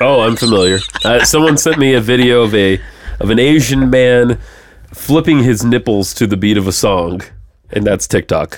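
A man with a medium pitch speaks at a moderate pace, using ordinary pitch variation and very even loudness over noticeable background noise. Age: 30s. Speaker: podcast host. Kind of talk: casual chat.

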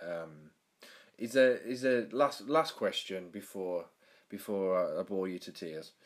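A man in a Birmingham accent talks at a fairly slow pace with ordinary pitch variation. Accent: Birmingham English, fairly strong. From Birmingham, England. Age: 20s. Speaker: podcast host. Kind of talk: casual interview. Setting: video call.

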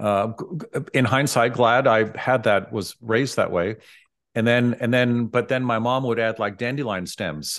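A man speaks with an American accent at a medium pitch and a moderate pace over a quiet background. His is an unremarkable speaking voice. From US West Coast, San Francisco. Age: 60s. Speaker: dentist. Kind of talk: casual interview.

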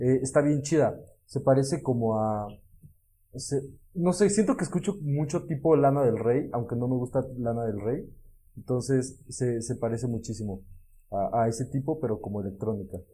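This man's tone is dark and mellow, and his voice is somewhat breathy. His intonation is lively. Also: medium pitch for a man, moderate pace. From Puebla, Mexico. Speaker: podcast co-host. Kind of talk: casual chat.

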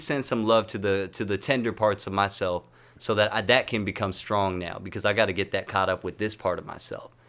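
A man with an American accent speaks at a fairly quick pace in a fairly low pitch, with a plain, everyday voice. The recording is very clean, with a silent background. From North County, Southern California. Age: 20s. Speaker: musician. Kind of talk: casual interview.

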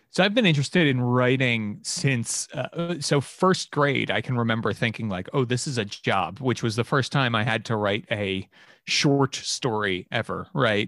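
A medium-pitched man talks at a moderate pace with hardly any pauses. The recording is very clean, with a silent background. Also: lively intonation. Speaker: game designer. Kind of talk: casual chat. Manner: animated.

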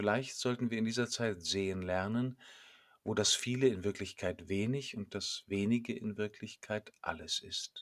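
Very clean, with a silent background and a dry, close sound with no echo, this man has a plain, everyday voice with fairly even intonation. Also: medium pitch for a man. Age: 50s. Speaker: priest. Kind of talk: scripted sermon.

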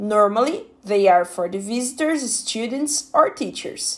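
A fairly slow woman with a Portuguese accent and a fairly high pitch. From Brazil. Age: 20s. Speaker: English learner. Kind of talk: prepared monologue.

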